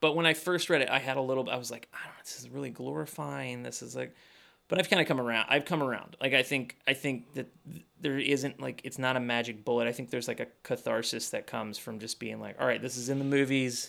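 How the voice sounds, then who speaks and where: A man with a bright, sharp tone and vocal fry talks at a very fast pace in a medium pitch with ordinary pitch variation, on a very clean recording with a silent background. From Kentucky, Louisville. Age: 30s. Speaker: film production manager and filmmaker. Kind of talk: casual chat.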